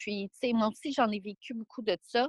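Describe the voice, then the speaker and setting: In a dry, close sound with no echo, a woman speaks fairly slowly and somewhat breathily at fairly high pitch with fairly even intonation. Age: 20s. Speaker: guest sharing life story. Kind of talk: testimony.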